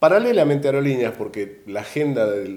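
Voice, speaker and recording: With an Argentine accent, a man speaks at a moderate pace in a dark, mellow tone with lively intonation. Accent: Argentine Spanish (Rioplatense). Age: 60s. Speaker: retired airline cabin crew manager. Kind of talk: interview.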